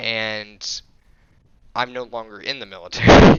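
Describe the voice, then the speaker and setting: This is a man whose voice is fairly low in pitch. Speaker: gaming YouTuber. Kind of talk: casual vlog rant. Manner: monotone.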